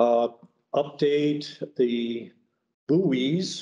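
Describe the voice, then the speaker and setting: Dark, mellow tone from a man, medium in pitch, with ordinary pitch variation. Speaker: committee member reporting at board meeting. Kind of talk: meeting report. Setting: board meeting with microphone. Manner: loud.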